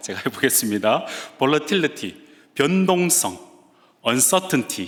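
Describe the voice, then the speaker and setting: A man speaks with lively intonation in a Gyeongsang accent. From Gyeongsang region, Korea. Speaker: guest preacher, seminary professor. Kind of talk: sermon. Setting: church.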